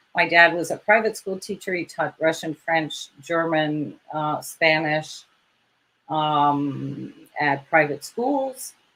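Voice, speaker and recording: Her pitch very deep and low, a woman speaks very slowly in a bright, sharp tone with ordinary pitch variation. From New England and Europe (France, Germany). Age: 60s. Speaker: retired IT expert and volunteer caregiver. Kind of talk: interview. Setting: radio show. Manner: hesitant, many fillers.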